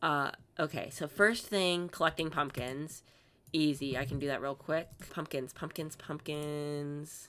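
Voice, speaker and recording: Very deep, low pitch from a woman, with fairly even intonation. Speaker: gaming YouTuber. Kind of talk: gameplay commentary. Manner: monotone.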